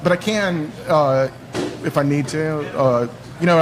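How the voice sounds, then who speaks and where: A man's voice comes through with audible room echo. Music plays in the background. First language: Spanish. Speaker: guest on a bar talk show. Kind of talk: casual chat. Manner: halting, many fillers.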